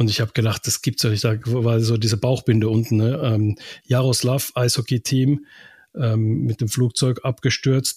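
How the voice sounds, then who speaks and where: A man's somewhat breathy, medium-pitched voice at a moderate pace with fairly even intonation, in a very clean recording with a silent background and a dry, close sound with no echo. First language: Finnish (speaking German). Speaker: radio sports reporter. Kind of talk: casual chat.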